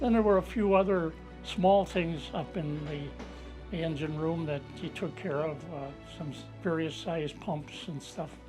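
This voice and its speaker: A man speaks fairly slowly. Behind his voice, music is playing. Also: ordinary pitch variation. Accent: American. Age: 80s+. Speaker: war veteran. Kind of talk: interview answer. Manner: halting, conversational.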